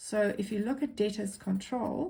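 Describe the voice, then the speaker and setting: A woman speaks with an Afrikaans accent at a medium pitch. Her voice is somewhat breathy, with ordinary pitch variation. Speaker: accounting teacher. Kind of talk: tutorial. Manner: casual.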